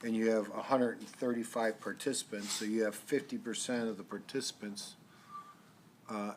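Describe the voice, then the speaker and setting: This man has a fairly low pitch and fairly even intonation. He talks at a moderate pace. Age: 60s. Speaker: city council member, deputy mayor. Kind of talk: council meeting discussion. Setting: council chamber meeting. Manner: halting, repeats words.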